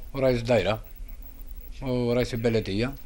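Over light background noise, this speaker with an Algerian accent talks at a moderate pace with ordinary pitch variation. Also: man. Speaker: local resident, parent of sick child. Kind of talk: street interview complaint. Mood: complaining, frustrated. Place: home room. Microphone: handheld.

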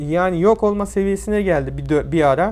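Here a man is speaking at a moderate pace. His pitch varies in an ordinary way. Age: 20s. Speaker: YouTuber. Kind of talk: vlog monologue. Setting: at home in quarantine.

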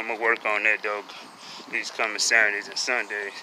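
A man speaks at a fairly low pitch in a flat, monotone way, with noticeable background noise behind him. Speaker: vlogger. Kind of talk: casual vlog chat. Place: street. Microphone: phone near.

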